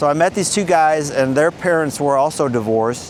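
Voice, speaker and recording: This man's pitch varies in an ordinary way, with noticeable background noise throughout the clip. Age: 60s. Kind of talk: personal story to camera. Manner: casual, hesitant.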